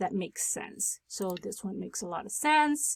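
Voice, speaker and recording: In a non-native accent, a woman with a medium-pitched voice speaks with lively intonation, recorded dry and close with no echo on a very clean track with a silent background. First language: not English. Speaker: tech tutorial creator. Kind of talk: tutorial. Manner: casual, with filler words.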